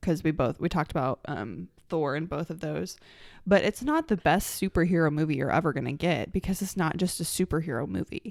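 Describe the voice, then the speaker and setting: Vocal fry and lively intonation at a fairly quick pace, in a very clean, dry, close recording with no echo and a silent background. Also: woman, very deep, low pitch for a woman. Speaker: podcast co-host. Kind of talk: casual chat.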